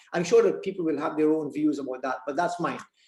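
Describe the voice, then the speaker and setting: The speaker has a Guyanese accent. Pitch variation is ordinary. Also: man. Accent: Guyanese Creole dialect speaker. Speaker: writer. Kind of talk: reading aloud. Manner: halting.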